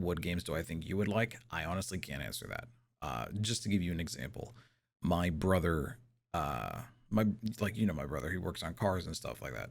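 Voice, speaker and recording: A man's very deep, low voice with vocal fry, lively intonation and a moderate pace. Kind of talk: asmr roleplay talking. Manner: soft-spoken, casual.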